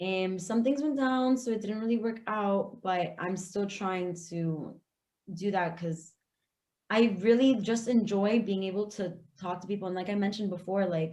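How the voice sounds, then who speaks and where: A woman with a Florida accent, medium pitch, ordinary pitch variation and a moderate pace. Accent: Florida (Hialeah). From South Florida (Hialeah, Miami area). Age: 20s. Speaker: aspiring podcaster. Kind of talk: casual interview chat.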